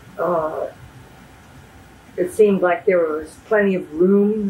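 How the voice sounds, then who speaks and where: Speaking very slowly in an American accent, a woman has a fairly low pitch and fairly even intonation. Noticeable background noise runs under her voice. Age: 80s+. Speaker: interviewee. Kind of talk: interview. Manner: hesitant.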